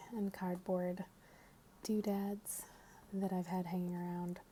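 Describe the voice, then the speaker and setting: Medium pitch from a woman, with noticeable background noise behind her. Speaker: ASMR content creator. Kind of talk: ASMR ramble, casual talk to camera. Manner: soft-spoken, sometimes whispering.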